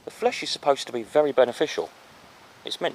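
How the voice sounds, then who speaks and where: A man talks at a fairly quick pace. He has a southern English accent. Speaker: walking vlogger, local history. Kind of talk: casual outdoor walking commentary. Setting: outdoors, churchyard. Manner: conversational, some hesitations and repeats.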